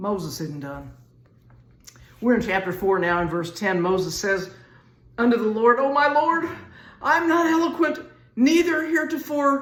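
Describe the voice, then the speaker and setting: With a Southern US accent, a woman with a fairly high pitch speaks at a moderate pace with very wide pitch swings and long, frequent pauses, amid noticeable background noise and audible room echo. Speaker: Bible teacher. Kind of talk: sermon. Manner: casual, conversational.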